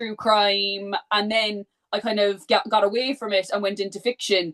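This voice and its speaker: Talking at a fairly quick pace in a Cork accent, a woman holds a medium pitch with fairly even intonation. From Ireland, Cork. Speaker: book content creator. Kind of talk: casual chat.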